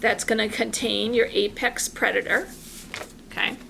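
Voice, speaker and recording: Noticeable background noise under a fairly high-pitched woman's voice. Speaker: art teacher. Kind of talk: tutorial.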